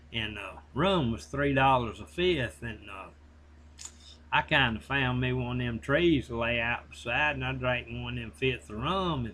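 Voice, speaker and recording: A man with a Southern US accent speaks at a fairly slow pace and a medium pitch, with vocal fry. His pitch swings very widely, and he leaves long, frequent pauses. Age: 60s. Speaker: online reseller. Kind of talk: casual monologue. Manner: rambling, conversational.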